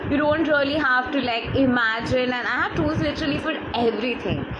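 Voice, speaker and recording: A woman with a Bengali accent speaks high in pitch at a moderate pace with ordinary pitch variation, with noticeable background noise and audible room echo. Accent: Indian English (Bengali). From India (Bengal). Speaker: life coach. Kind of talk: live-streamed talk.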